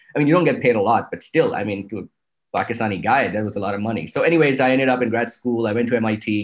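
Vocal fry colors this man's voice. He rattles through his words very fast. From Pakistan. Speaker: venture capital investor. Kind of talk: interview conversation.

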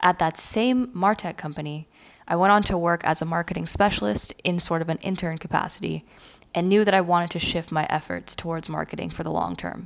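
This woman has a normal speaking voice, fairly low in pitch, with ordinary pitch variation, a fairly quick pace, and a Canadian accent. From Canada, near Toronto. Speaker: podcast host and marketer. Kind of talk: scripted podcast introduction.

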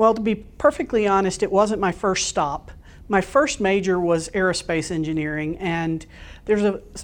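With an American accent, the speaker uses a normal speaking voice at a moderate pace with lively intonation over a quiet background. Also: woman. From US South, Florida Panhandle. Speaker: telecom executive. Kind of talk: interview.

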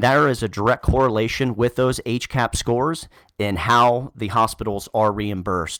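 A man talks at a moderate pace. His medium pitch shows ordinary variation. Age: 30s. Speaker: nurse turned medical sales manager. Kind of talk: interview. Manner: halting, many fillers and repetitions.

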